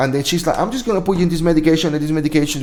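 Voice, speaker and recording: A man with a strong Spanish accent speaks at a fairly high pitch with ordinary pitch variation. Room echo is audible. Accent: thick Spanish. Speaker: veteran livestream host. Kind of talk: casual live chat. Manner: halting, repetitive.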